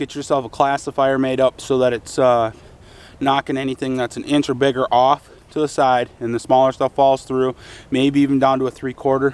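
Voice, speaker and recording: A man's fairly high-pitched voice, dry and close with no echo. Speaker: hobbyist video maker. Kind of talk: casual tutorial. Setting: outdoors at a shooting range. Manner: fast; casual with many fillers.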